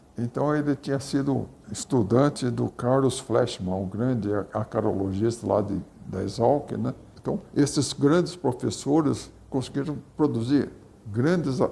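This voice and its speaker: A man speaks at a fairly slow pace with ordinary pitch variation. His tone is dark and mellow, with vocal fry. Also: medium pitch for a man. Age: 80s+. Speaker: soybean breeder, agronomist. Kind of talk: interview. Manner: halting.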